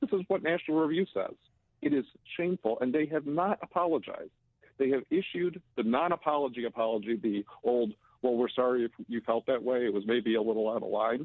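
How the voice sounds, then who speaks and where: A man speaks with an unremarkable speaking voice at a medium pitch. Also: lively intonation, fairly quick pace. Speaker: publisher, political commentator. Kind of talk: radio interview, political commentary.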